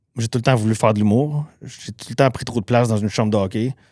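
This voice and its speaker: Recorded very cleanly against a silent background, a man with a Quebec accent talks at a medium pitch with fairly even intonation. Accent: Québécois French. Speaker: cook and cookbook author. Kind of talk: podcast interview. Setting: podcast studio. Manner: fast.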